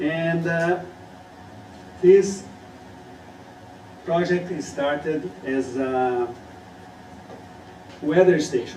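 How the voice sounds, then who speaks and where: A man with a Portuguese accent speaks very slowly at a fairly high pitch, leaving long, frequent pauses. His intonation is lively, and the room echo and background noise are both noticeable. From Brazil. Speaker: student. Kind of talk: student presentation.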